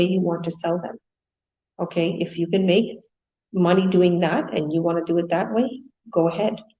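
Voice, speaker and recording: A woman's fairly low, somewhat breathy voice carries a dark, mellow tone and fairly even intonation. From India. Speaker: online business coach. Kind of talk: motivational talk. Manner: fast.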